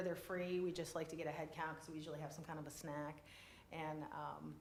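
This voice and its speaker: A woman's voice comes through with audible room echo and noticeable background noise. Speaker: business development presenter. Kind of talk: public meeting presentation. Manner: fast; animated.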